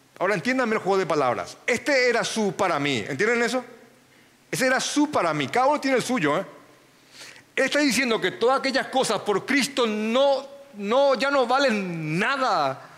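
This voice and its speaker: An extremely high male voice with lively intonation and very even loudness, over noticeable background noise. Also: moderate pace. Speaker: pastor. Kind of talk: sermon.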